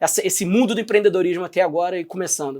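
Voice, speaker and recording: The speaker talks in a Rio de Janeiro accent. The pace is very fast. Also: man. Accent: carioca accent noticeable. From Brazil, Rio de Janeiro. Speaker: podcast host, entrepreneur. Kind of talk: podcast interview. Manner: casual, conversational.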